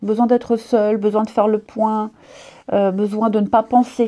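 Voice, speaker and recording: A woman's fairly high voice, dark and mellow in tone, with flat, monotone intonation at a moderate pace. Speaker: tarot reader. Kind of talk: tarot horoscope reading. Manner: quiet.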